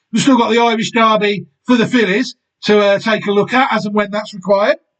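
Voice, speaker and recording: With music in the background, a man with a high voice speaks at a fairly quick pace in monotone, flat intonation. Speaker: horse racing YouTuber. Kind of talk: solo video analysis. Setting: home recording, window shut. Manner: casual.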